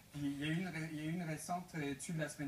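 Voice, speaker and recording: A man speaks with a Breton accent and fairly even intonation. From Brittany, France. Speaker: entrepreneur. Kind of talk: TV talk show interview. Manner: hesitant, many fillers and repetitions.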